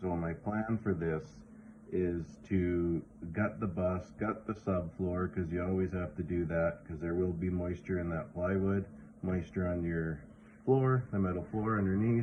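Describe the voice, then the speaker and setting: Speaking with a western Canadian accent, a man uses a very deep, low pitch at a fairly slow pace. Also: ordinary pitch variation. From western Canada. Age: 40s. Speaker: vlogger. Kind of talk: casual vlog talk.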